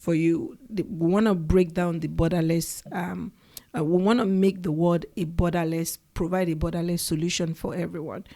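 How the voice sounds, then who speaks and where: A woman with a Nigerian accent talks at a moderate pace, her fairly low voice dark and mellow with fairly even intonation. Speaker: education startup founder. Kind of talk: interview. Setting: in the Bay Area.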